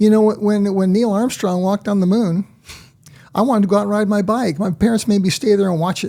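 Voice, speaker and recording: A man with an American accent talks at a very fast pace in a high pitch. His tone is dark and mellow, with fairly even intonation. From US West Coast, San Diego, California. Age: 70s. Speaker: retired cabinetmaker and mentor. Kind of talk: podcast interview. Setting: studio.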